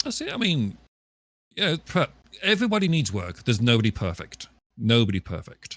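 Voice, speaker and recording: A man with a British accent talks at a fairly quick pace, broken by long, frequent pauses. The sound is dry and close, with no echo. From England, West Midlands. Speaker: live streamer. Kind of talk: casual interview on live stream. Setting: live stream podcast.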